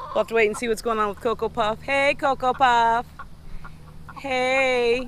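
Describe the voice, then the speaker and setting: Over light background noise, a man speaks fairly slowly at an extremely high pitch, the sound dry with no echo. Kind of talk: casual vlog chat. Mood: cheerful, playful. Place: farm machine. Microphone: phone near.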